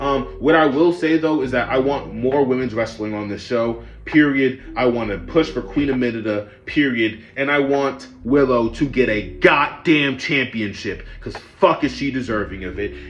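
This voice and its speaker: Music plays in the background as a man talks at a moderate pace with hardly any pauses. His medium pitch shows ordinary variation. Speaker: wrestling reviewer. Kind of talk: casual review rant. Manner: low energy; casual, profane.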